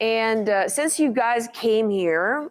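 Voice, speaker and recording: In a very clean recording with a silent background, a woman with a Russian accent speaks with ordinary pitch variation. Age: 30s. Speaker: motivational speaker. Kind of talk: talk to a live audience. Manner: frequent hesitations (um, uh).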